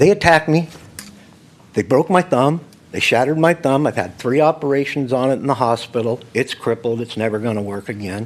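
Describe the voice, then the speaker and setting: Speaking at a fairly quick pace with an American accent, a man uses a medium pitch and lively intonation. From California, Modesto. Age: 60s. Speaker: public commenter. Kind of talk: public comment at council meeting. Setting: city council chamber. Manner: agitated.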